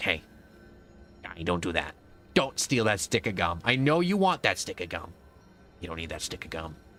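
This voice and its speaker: A man uses a put-on character voice with a very deep, low pitch. He keeps a moderate pace with long, frequent pauses. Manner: nagging, tempting.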